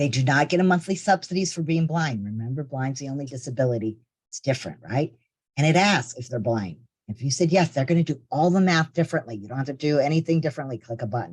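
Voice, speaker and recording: Somewhat breathy, a man with a fairly high pitch talks at a very fast pace with lively intonation. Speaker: benefits trainer. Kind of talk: webinar tutorial. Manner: occasional stutter.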